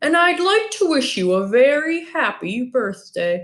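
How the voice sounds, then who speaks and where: A woman's put-on character voice, high-pitched, with very wide pitch swings and a fairly slow pace. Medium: read story. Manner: patient, polite.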